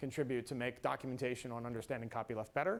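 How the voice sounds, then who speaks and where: The intonation of this man is fairly even. He speaks at a very fast pace. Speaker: free software advocate. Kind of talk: conference talk.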